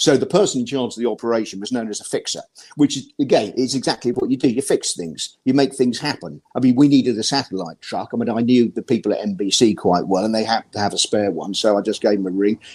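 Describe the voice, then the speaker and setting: A man with a British accent speaks at a very fast pace with hardly any pauses. His voice is medium in pitch and varies in an ordinary way. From Britain. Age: 60s. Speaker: ski journalist. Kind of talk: interview. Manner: halting, with many repeated words.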